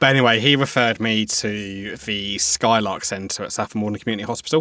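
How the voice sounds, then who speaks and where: A man with a southern English accent, fairly low in pitch, fairly quick in pace, and fairly even in intonation. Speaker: cyber security worker, mental health advocate. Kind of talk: interview testimony.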